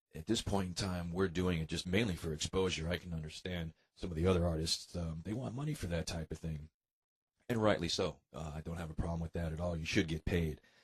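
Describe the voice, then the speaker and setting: Speaking with an American accent, a man has a very deep, low pitch, a somewhat breathy quality and fairly even intonation. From US Southwest (Tucson, Arizona). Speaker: rockabilly musician. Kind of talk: radio interview. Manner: casual, hesitant with fillers.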